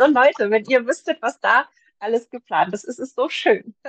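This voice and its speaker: A woman's voice is captured in a dry, close sound with no echo. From Germany, Magdeburg. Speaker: publisher's blogger manager and video content creator. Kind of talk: casual interview.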